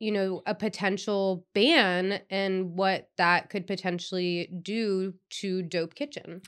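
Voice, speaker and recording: Bright and sharp in tone, a woman's medium-pitched voice moves at a very slow pace. Her intonation stays fairly even. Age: 30s. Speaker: podcast host. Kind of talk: casual chat.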